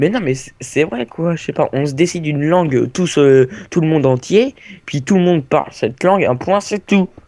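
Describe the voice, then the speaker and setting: At a moderate pace, a man with a fairly high pitch and a dark, mellow tone speaks with lively intonation. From France. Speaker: gaming youtuber. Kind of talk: casual gameplay chat. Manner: halting, searching for words.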